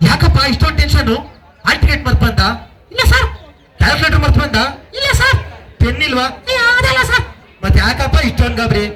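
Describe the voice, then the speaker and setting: A man is doing a put-on character voice at a moderate pace. Music plays in the background. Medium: stage play.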